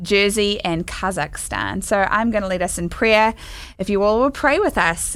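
A woman talks at a moderate pace in a normal speaking voice. Her pitch is medium and her intonation fairly even. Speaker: podcast co-host and musician. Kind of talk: casual podcast interview.

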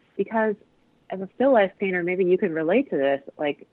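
A normal speaking voice in an American accent, at a fairly quick pace with lively intonation. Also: woman. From US Midwest, Cleveland. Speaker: painter. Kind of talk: casual interview. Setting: phone call.

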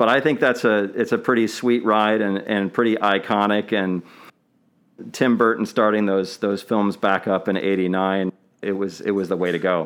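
A man speaks at a moderate pace with a fairly low pitch. His intonation is fairly even, in a normal speaking voice. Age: 40s. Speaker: podcast host. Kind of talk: casual chat.

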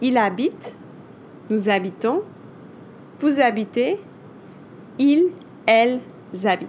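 Lively intonation carries speech that moves at a fairly slow pace. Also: woman. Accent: French. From France. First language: French. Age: 30s. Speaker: French teacher. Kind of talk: language lesson. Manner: animated.

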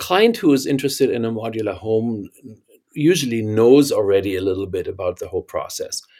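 A man at a moderate pace, medium pitch and ordinary pitch variation, with a German accent, in a very clean recording with a silent background. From Germany. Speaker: architect and company founder. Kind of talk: interview.

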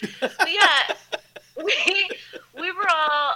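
Raising and projecting her voice, a woman with a Philadelphia accent speaks in a bright, sharp tone. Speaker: actress. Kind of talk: casual chat.

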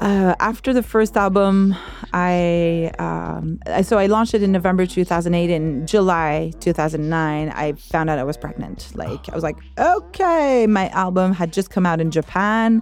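Music plays in the background as a woman speaks in a Quebec accent. She hardly pauses at all. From Quebec, Saint-Jean-sur-Richelieu. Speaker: arts coordinator and musician. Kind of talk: casual interview. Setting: studio. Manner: hesitant with fillers.

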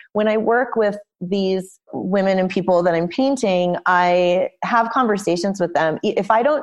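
At a fairly slow pace, a woman with an American accent speaks in a normal speaking voice, medium in pitch with ordinary pitch variation. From US West Coast, Los Angeles. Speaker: painter and art teacher. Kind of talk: interview.

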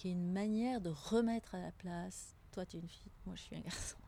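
Her voice is somewhat breathy, with a dark, mellow tone at a medium pitch for a woman. She speaks at a moderate pace with ordinary pitch variation. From Tunisia. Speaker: teacher. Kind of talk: interview. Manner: halting.

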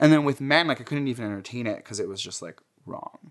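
A man with a plain, everyday voice, medium pitch and an American accent, lively intonation and a fairly quick pace. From New Jersey, Jersey City. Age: 20s. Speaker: interviewee sharing personal history. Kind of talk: oral history interview, casual storytelling. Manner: casual, heavy use of filler like.

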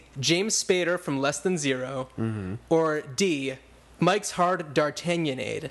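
A man speaks at a fairly slow pace with an American accent, in a normal speaking voice. His intonation is lively. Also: fairly high pitch for a man. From New Jersey. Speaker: podcast host. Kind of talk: casual chat.

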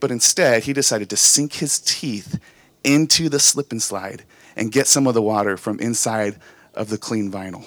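A man with an unremarkable speaking voice at medium pitch is heard in a dry, close sound with no echo. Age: 30s. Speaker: pastor. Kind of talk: sermon. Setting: church with live congregation. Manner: casual, conversational.

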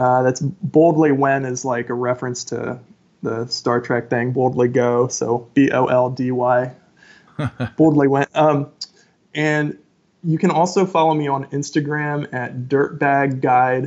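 Using an ordinary speaking voice at medium pitch, a man speaks at a fairly slow pace with fairly even intonation. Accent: American. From rural Ohio, US Midwest. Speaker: author and podcast host. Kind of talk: casual interview.

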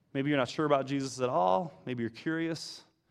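A man with an American accent speaks at a fairly high pitch with ordinary pitch variation, and audible room echo surrounds his voice. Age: 50s. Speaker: pastor. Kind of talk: sermon. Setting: church.

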